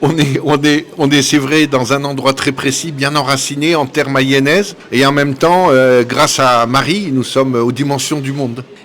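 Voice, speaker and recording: Over noticeable background noise, a man with a fairly high pitch talks at a fairly slow pace with hardly any pauses and fairly even intonation. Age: 60s. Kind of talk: interview. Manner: hesitant with frequent fillers.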